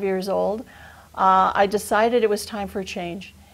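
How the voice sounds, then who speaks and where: A woman's plain, everyday voice with an American accent, medium in pitch, at a moderate pace with ordinary pitch variation. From western Massachusetts (Chicopee). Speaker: retired teacher, program volunteer. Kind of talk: TV interview.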